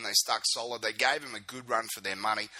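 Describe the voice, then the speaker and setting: A man with an Australian accent and a medium pitch, over noticeable background noise. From Queensland, Australia. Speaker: fan club video podcast host. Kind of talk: casual video podcast monologue. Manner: informal, filler-heavy.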